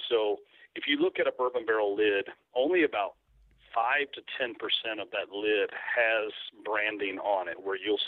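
A man with a Kentucky accent talks at a fairly slow pace. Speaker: turkey call maker, entrepreneur. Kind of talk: casual interview.

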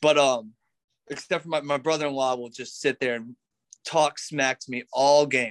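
A man with a normal speaking voice and an American accent, fairly high in pitch, at a moderate pace with fairly even intonation and big swings in loudness, in a dry, close sound with no echo. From North Carolina. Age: 20s. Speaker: CrossFit athlete. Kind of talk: casual interview chat.

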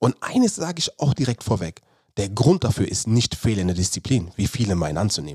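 At a fairly quick pace, a man speaks with very wide pitch swings around a fairly low pitch, a dark, mellow tone and a somewhat breathy quality, in a dry, close sound with no echo. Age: 30s. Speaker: podcast host, former pro footballer and performance coach. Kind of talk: solo podcast monologue.

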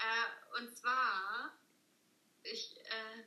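Her voice sits high, and its pitch rises and falls in an ordinary way. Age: 20s. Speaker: law trainee, former scout. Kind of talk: casual interview chat. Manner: hesitant, many fillers.

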